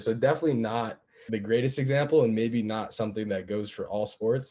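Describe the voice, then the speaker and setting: A man speaks with an unremarkable speaking voice at a medium pitch. His intonation is fairly even and his pace fairly quick. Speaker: college football player. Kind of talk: panel discussion. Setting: video call.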